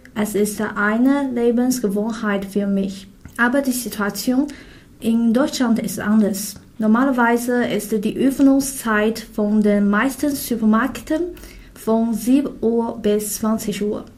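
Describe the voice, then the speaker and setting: Very slowly and with fairly even intonation, a woman at fairly high pitch speaks in a Chinese accent, with audible room echo. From China. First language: Chinese (speaking German). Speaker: international student. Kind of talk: scripted conversation.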